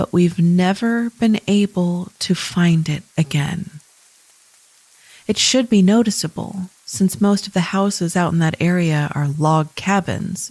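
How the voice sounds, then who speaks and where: A somewhat breathy woman's voice, fairly low in pitch, at a very slow pace with ordinary pitch variation. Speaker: podcast host. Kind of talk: scary story reading.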